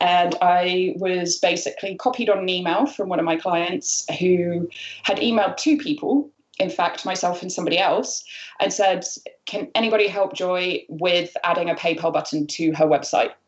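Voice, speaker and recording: A woman at a medium pitch in a British accent, with ordinary pitch variation and a moderate pace. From United Kingdom. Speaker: freelance marketer. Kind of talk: interview. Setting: video call.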